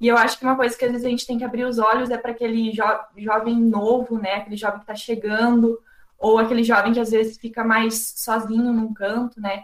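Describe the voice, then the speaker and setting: A woman's fairly high pitch and monotone, flat intonation at a fairly quick pace, with noticeable background noise. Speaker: youth group member. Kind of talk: group discussion.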